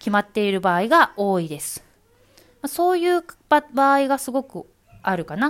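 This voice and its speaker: In a very clean recording with a silent background, a woman talks at a moderate pace in a high pitch that swings very widely. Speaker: podcaster, former announcer. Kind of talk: solo talk answering listener questions.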